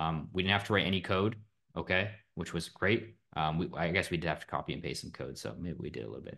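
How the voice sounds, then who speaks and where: A man speaks very fast at a very deep, low pitch, with vocal fry and a bright, sharp tone. His intonation is lively, and the background is quiet. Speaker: algorithmic trader and trading educator. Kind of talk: live class tutorial. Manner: casual, filler-heavy.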